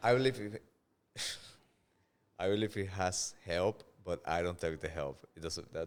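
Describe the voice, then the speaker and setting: A man's very deep, low voice with a Spanish accent and long, frequent pauses. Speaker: stand-up comedian. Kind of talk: casual podcast chat. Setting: podcast studio. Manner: halting, repeats words.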